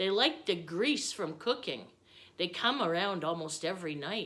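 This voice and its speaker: In a put-on character voice, a woman at medium pitch swings her pitch very widely at a moderate pace. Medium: read story. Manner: hearty, hospitable.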